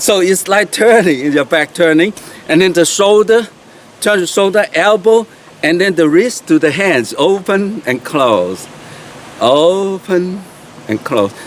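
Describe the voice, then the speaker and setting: With a Chinese accent, the speaker moves at a fairly slow pace, using lively intonation and long, frequent pauses amid noticeable background noise. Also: man, high pitch for a man. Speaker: qigong teacher. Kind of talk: tutorial. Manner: halting, many fillers.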